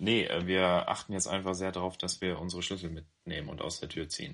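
A man with a very deep, low pitch talks fairly quickly. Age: 30s. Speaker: podcast co-host. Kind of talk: casual chat.

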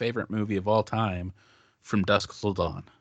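A man talks at a fairly quick pace in an ordinary speaking voice with a fairly low pitch. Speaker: guest composer of the theme song. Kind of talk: casual chat. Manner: joking, playful.

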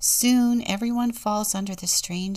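A woman speaks very slowly in a warm, gentle, somewhat breathy voice. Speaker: deacon and storyteller. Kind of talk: audiobook-style reading aloud of a saga, with a short devotional intro and closing prayer. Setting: church podcast, studio recording. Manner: measured, storyteller's cadence, warm and gentle.

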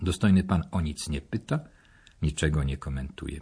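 A dark, mellow, somewhat breathy tone with ordinary pitch variation. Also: man. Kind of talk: newsreel-style narration and reading aloud.

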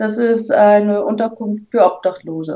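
Using a plain, everyday voice, a woman speaks at a moderate pace and fairly high pitch with ordinary pitch variation. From Hamburg. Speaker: rally participant. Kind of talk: casual interview.

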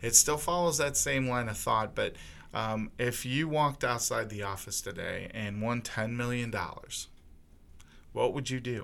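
Using an ordinary speaking voice, a man talks at a moderate pace, his medium pitch showing ordinary pitch variation. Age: 40s. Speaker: company podcast host. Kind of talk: casual interview.

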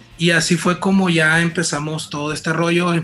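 Against noticeable background noise, a man speaks in a fairly high pitch with a flat, monotone intonation. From Mazatlán, Sinaloa, Mexico. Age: 30s. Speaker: band singer and guitarist. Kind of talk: casual interview.

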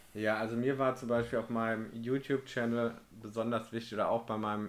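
An ordinary speaking voice from a man at medium pitch, with fairly even intonation and a moderate pace. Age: 30s. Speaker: podcast host, van converter. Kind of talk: casual chat.

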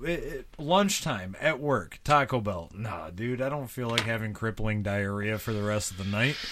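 Using an ordinary speaking voice, a man speaks at a moderate pace and medium pitch, with ordinary pitch variation and hardly any pauses. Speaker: guest, childhood friend. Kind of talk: casual chat. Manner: jokey.

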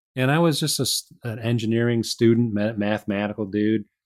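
A man with a Midwestern US accent talking at a fairly quick pace, on a very clean recording with a silent background. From Chicago, US Midwest. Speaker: author and engineer. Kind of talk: interview conversation.

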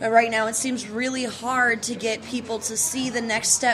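Against background music, a woman with an American accent speaks at a moderate pace in a fairly high, monotone, flat voice. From Chicago area, US Midwest. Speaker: podcast host. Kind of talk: casual interview. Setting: local brewery.

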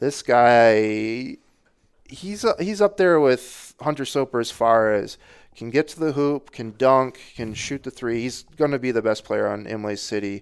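Speaking at a fairly slow pace with lively intonation, this man has an ordinary speaking voice, a medium pitch and an American accent. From Northern Michigan. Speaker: local sports reporter. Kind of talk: casual chat.

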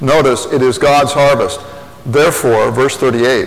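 Recorded with audible room echo and noticeable background noise, a man with an American accent speaks at a fairly slow pace. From Indiana (Lafayette). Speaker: pastor. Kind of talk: sermon.

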